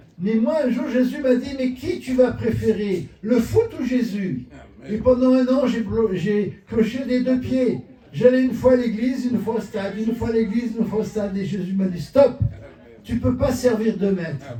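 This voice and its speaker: A man with an extremely high pitch talks at a fairly slow pace, his pitch varying in an ordinary way while his loudness swings widely. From southern France, Marseille. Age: 70s. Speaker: pastor. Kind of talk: sermon.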